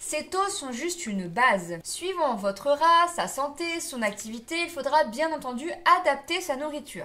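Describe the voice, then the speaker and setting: A woman's raised, projected voice with very wide pitch swings. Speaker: pet care vlogger. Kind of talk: tutorial. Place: home room.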